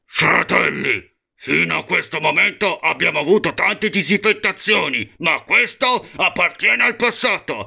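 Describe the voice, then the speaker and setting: A man uses a put-on character voice pitched high. His loudness stays very even at a moderate pace. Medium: dub. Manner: menacing, grandiose.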